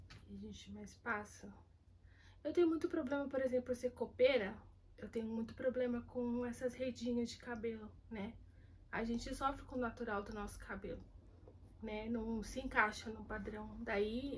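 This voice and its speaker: Speaking at a moderate pace with long, frequent pauses, a woman keeps her fairly high pitch on a fairly even intonation. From Brazil, São Paulo city. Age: 30s. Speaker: kitchen worker interviewee. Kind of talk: interview testimony.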